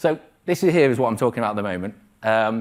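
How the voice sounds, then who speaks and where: On a very clean recording with a silent background, a man speaks at a medium pitch and a fairly quick pace with lively intonation. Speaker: trading mentor. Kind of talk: live presentation. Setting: stage with audience. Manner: fast.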